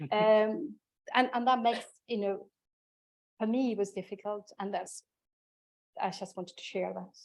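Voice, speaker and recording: Long, frequent pauses break up the speech of a woman with an Argentinian accent. Her pitch is fairly high, with ordinary variation, at a moderate pace. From Argentina. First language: Spanish. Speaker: chemistry inclusion leader, panelist. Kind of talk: panel discussion.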